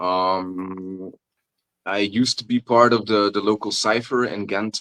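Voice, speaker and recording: Speaking with a non-native accent, a man has a bright, sharp tone. The sound is dry and close, without echo. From Belgium (Flanders). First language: Dutch. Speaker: pagan folk rapper. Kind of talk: interview. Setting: video call, evening. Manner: halting, many fillers.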